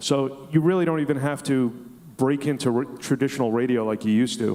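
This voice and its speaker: This man has an American accent and uses ordinary pitch variation. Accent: Brooklyn accent, largely reduced. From Brooklyn, New York. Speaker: radio host. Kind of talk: panel discussion. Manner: hesitant, many fillers.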